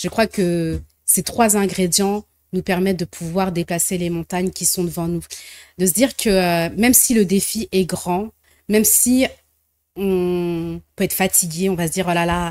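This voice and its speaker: Recorded very cleanly against a silent background with a dry, close sound and no echo, a woman with a normal speaking voice talks fairly slowly at medium pitch with fairly even intonation. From French diaspora, left Congo very young. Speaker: social entrepreneur, association founder. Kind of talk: TV interview.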